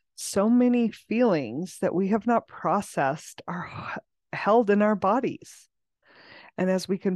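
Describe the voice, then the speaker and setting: The speaker has a plain, everyday voice at a fairly slow pace. The sound is dry and close with no echo, over a quiet background. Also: woman. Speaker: podcast host and coach. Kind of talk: guided meditation. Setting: video recording for YouTube and podcast. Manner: soothing, slow and calm; gentle, coaxing and unhurried.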